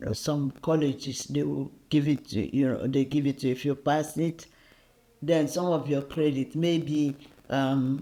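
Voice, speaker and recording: A man with a Nigerian accent speaks at a fairly slow pace in a fairly high pitch, his tone dark and mellow and his intonation fairly even. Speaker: diaspora interviewee. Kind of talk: casual chat.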